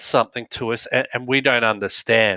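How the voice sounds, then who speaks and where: With an Australian accent, a man speaks in a bright, sharp tone, the sound dry and close with no echo. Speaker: business director and dyslexia advocate. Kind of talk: talk to audience. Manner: halting, many fillers.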